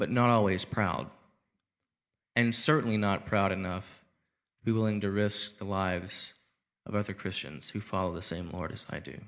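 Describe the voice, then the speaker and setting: A man with an American accent speaks at a moderate pace in a fairly low voice, using ordinary pitch variation and long, frequent pauses against a quiet background. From Arkansas, US South. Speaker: war veteran. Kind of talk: testimony. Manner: halting.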